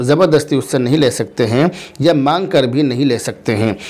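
A man's fairly high voice moves at a moderate pace, with ordinary pitch variation and a quiet background. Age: 30s. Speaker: Islamic scholar answering viewer questions. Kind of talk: religious Q&A reading viewer comments. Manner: measured, formal. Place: studio. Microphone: lapel.

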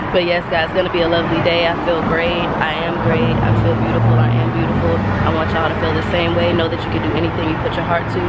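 Loud background noise sits under speech delivered at a very fast pace with hardly any pauses. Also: woman, dry sound with no echo. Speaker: vlogger. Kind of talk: casual vlog talk to camera. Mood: upbeat, playful. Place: street. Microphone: phone near.

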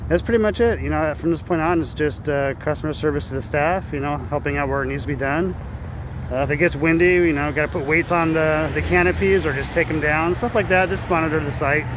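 This man talks at a very fast pace with ordinary pitch variation. The sound is dry with no echo, though noticeable background noise is present. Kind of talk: casual vlog chat. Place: street. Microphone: phone near.

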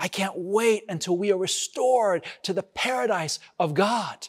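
At a fairly slow pace, a man speaks with lively intonation. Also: quiet background. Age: 50s. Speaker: pastor. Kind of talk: sermon. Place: stage. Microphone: lapel.

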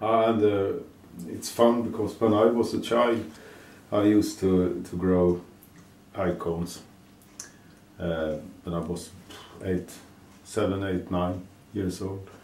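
A man with a fairly low pitch speaks very slowly, leaving long, frequent pauses in fairly even intonation. Light background noise and audible room echo fill the recording. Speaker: gardening video creator. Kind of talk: casual tutorial vlog. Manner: halting, hesitant. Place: kitchen.

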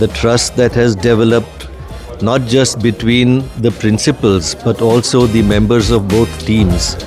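Clear music plays behind a man's voice. The sound is dry with no echo, and his intonation is fairly even. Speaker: guest. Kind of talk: interview answer. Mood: proud, warm. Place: hall. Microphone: handheld.

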